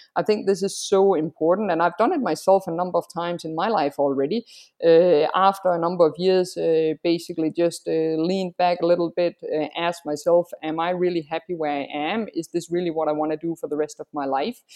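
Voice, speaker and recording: This woman has an unremarkable speaking voice, fairly low in pitch, with fairly even intonation. She talks at a fairly quick pace with hardly any pauses. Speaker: freelancer. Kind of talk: interview. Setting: video or phone call, from Singapore.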